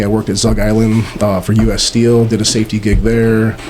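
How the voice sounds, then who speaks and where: This man has a medium pitch and an American accent. His intonation stays monotone and flat over noticeable background noise. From Montana, then Detroit area. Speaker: contractor and business owner. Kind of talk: interview conversation. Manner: halting.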